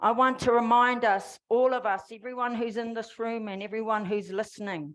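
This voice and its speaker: A woman's fairly high voice in a New Zealand accent, fairly even in intonation, at a moderate pace against a quiet background. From New Zealand, Māori. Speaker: formerly incarcerated activist. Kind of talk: public speech.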